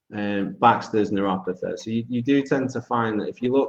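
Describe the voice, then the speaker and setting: A man's fairly low voice with a British accent. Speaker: foot and ankle biomechanics clinician. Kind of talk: webinar lecture. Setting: video call webinar. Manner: loud; hesitant, many fillers.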